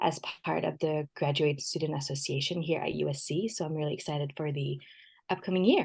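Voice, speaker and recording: Speaking fairly quickly with a slight French accent, a woman has a very deep, low pitch, vocal fry and fairly even intonation. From France. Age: 20s. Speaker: PhD student. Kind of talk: podcast interview.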